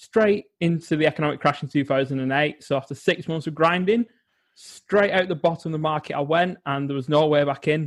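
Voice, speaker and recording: A man with an English accent talks at a fairly quick pace, his pitch fairly high with ordinary variation. The recording is very clean, with a silent background. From England. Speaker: psychologist and well-being coach. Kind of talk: interview.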